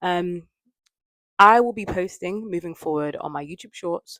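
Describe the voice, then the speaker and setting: A woman with a London accent at a fairly low pitch and ordinary pitch variation, in a dry, close sound with no echo, on a very clean recording with a silent background. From London, England. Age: 20s. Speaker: lifestyle vlogger. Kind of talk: casual vlog chat to camera. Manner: softer speaking lately.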